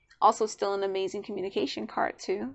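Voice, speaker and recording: A woman speaks with ordinary pitch variation. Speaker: tarot reader. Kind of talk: tutorial. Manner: fast; casual.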